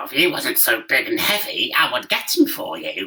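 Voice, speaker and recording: A raspy, put-on character voice is pitched extremely high. It moves at a moderate pace. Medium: read story.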